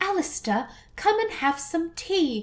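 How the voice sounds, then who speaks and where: A female-sounding voice uses a put-on character voice at an extremely high pitch. The pace is fairly slow. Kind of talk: refined, upper-class.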